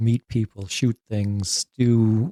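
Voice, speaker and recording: Dry and close with no echo, the sound carries a man's dark, mellow tone. He speaks in a monotone, flat intonation with an American accent. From Wisconsin, US Midwest. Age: 60s. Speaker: army veteran, retired drill sergeant. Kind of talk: interview. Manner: casual, halting.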